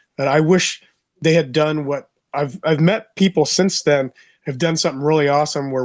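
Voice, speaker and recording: With a plain, everyday voice, a man speaks at a moderate pace with a fairly high pitch and fairly even intonation, the sound dry and close with no echo against a quiet background. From United States. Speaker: podcast co-host. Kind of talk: casual chat.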